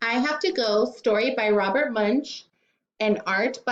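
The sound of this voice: Quiet background behind an unforced reading voice with ordinary pitch variation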